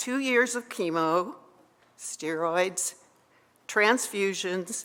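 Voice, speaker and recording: A woman speaks in a Canadian accent at a fairly low pitch. Her pace is very slow. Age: 70s. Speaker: psychotherapist sharing faith story. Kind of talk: personal testimony to an audience.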